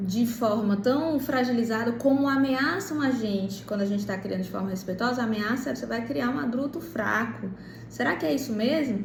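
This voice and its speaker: Fairly high-pitched woman's voice with lively intonation at a moderate pace, amid audible room echo and noticeable background noise. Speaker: parenting educator. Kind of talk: monologue to camera.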